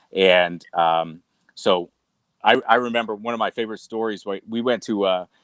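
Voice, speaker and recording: A man's fairly low voice with a slight New England accent, moderate pace and fairly even intonation, in a very clean recording with a silent background and a dry, close sound with no echo. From New England, US. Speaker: cigar company sales executive. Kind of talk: casual interview chat. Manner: halting, many fillers.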